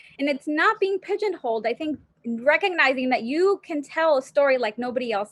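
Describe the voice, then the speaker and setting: Her voice is high-pitched. The woman speaks at a fairly quick pace. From Rio Grande Valley, Texas (moved from Mexico at seven). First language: Spanish. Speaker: planning professor. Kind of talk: podcast interview.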